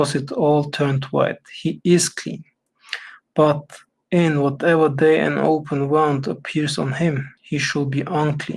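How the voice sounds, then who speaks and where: A man speaks at a fairly slow pace with a fairly high pitch. His voice is somewhat breathy and his intonation monotone and flat. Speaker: Bible reading streamer. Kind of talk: reading aloud. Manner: halting, stumbles over words.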